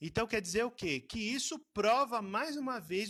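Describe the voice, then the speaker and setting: With lively intonation, a man speaks in a dry, close recording with no echo. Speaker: Bible school teacher. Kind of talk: online Bible class lecture. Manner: casual, hesitant.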